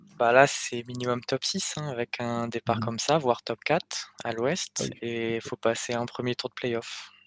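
Fairly even intonation from an ordinary speaking voice, kept at a moderate pace. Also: man, medium pitch for a man. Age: 20s. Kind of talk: casual chat.

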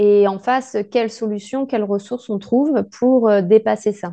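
A woman with a fairly high pitch and a dark, mellow tone speaks at a fairly slow pace with fairly even intonation against a quiet background. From France. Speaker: podcast host, life coach. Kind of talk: interview.

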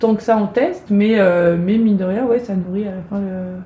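Fairly slow delivery from a woman, her pitch sitting in the middle range. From Brittany, France (village near Rennes). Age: 30s. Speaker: actress and playwright. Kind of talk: interview.

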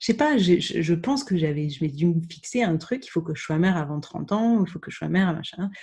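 Against a quiet background, a somewhat breathy voice with a dark, mellow tone and lively intonation moves at a moderate pace. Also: woman. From France, Burgundy (Dijon). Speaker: podcaster sharing her infertility journey. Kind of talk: interview. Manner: halting.

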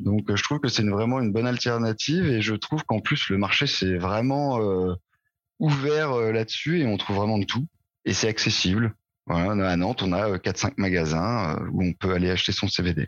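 A man's fairly low voice at a moderate pace, with lively intonation and very even loudness against a quiet background. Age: 30s. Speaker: IT project manager, cannabis user interviewed. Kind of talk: interview testimony. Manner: hesitant, many fillers.

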